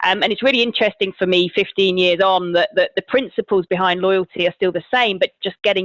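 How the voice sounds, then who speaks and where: A woman with a British accent talks at a fairly quick pace. Her pitch is medium and her intonation fairly even. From Britain. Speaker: marketing executive. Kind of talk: podcast interview.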